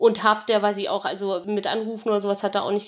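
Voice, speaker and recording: A woman with a plain, everyday voice talks at a fairly quick pace and a fairly high pitch. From northern Germany. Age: 30s. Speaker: dental phobia patient. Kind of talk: testimony.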